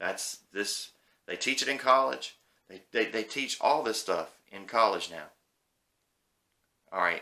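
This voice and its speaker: With a Southern US accent, a man speaks in a bright, sharp tone with vocal fry at a medium pitch and a fairly slow pace, using long, frequent pauses, big swings in loudness and very wide pitch swings. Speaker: YouTube movie commentator. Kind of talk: casual opinion rant. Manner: animated.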